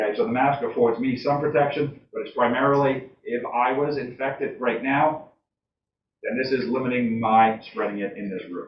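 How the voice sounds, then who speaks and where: At a moderate pace, the speech shows ordinary pitch variation. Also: man, medium pitch for a man. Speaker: town selectman. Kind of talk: public meeting debate. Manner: loud.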